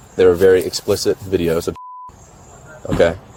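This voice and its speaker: With an American accent, a man talks at a moderate pace against noticeable background noise. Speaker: police officer. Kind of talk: police interview. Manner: stutter; halting.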